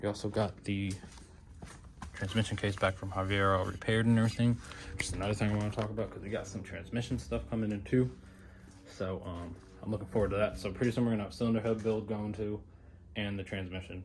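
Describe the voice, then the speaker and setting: A man with a fairly low pitch talks at a very fast pace in fairly even intonation, broken by long, frequent pauses, with audible room echo. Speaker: car builder vlogger. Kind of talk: casual garage vlog.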